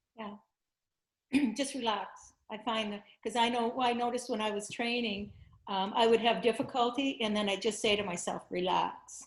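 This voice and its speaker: A woman's fairly high voice, an unremarkable speaking voice, with fairly even intonation and a moderate pace. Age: 60s. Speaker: teacher of blindfolded seeing. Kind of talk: interview.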